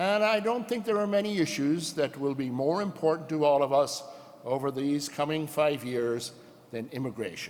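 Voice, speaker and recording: Audible room echo surrounds a man with an American accent who talks at a moderate pace, with a fairly high pitch and lively intonation. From rural Ireland. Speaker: union president. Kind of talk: convention speech. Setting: stage with audience.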